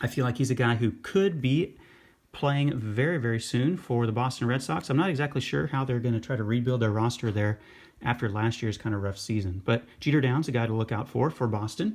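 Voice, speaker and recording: Man at a fairly quick pace, medium pitch and ordinary pitch variation, on a very clean recording with a silent background. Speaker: sports card and baseball prospect YouTuber. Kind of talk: casual talking-head commentary. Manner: fast.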